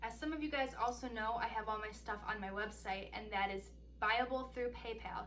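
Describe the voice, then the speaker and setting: The talking moves fairly quickly, and room echo is audible. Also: woman. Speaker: singer-songwriter vlogger. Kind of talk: casual vlog tutorial. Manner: fast; animated.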